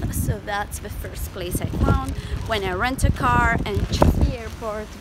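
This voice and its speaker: Loud background noise fills the recording. Over it, a woman speaks at a fairly slow pace. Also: dry sound with no echo. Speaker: travel vlogger. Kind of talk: casual vlog chat. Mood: cheerful, upbeat. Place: street. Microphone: phone near.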